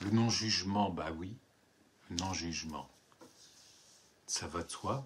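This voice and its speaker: This man's voice is very deep and low, and somewhat breathy. He talks at a very slow pace. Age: 70s. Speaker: writer and poet. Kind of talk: book presentation monologue. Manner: hesitant, repeats words.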